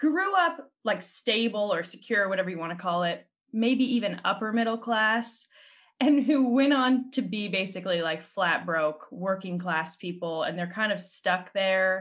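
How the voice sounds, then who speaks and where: At a moderate pace, a woman with an unremarkable speaking voice talks at medium pitch with lively intonation. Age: 30s. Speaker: podcast host. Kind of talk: casual chat. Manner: laughs often.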